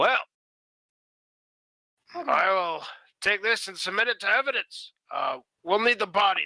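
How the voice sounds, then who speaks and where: In a raspy, fairly high put-on character voice, the speaker goes at a moderate pace with long, frequent pauses. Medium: actual play. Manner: dry, officious.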